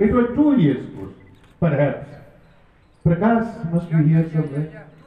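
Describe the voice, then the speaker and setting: A man's voice with audible room echo. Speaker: guest. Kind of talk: motivational speech. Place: stage. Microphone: pa.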